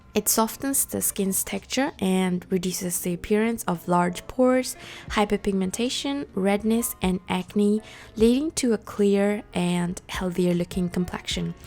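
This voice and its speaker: Music plays in the background as a woman of medium pitch speaks at a fairly slow pace with ordinary pitch variation. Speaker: beauty youtuber. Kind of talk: voiceover tutorial.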